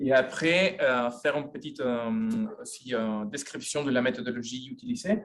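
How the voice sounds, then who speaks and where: A man talks at a moderate pace with hardly any pauses, his pitch swinging very widely. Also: fairly high pitch for a man. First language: Spanish (speaking French). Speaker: sociologist, university professor. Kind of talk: lecture. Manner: halting, many hesitations.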